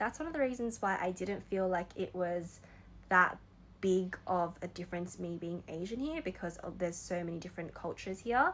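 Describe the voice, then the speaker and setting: With an Australian accent, a woman talks at a moderate pace in a medium voice with ordinary pitch variation. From Australia, Sydney. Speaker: vlogger. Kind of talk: personal reflection monologue. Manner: casual, conversational with fillers.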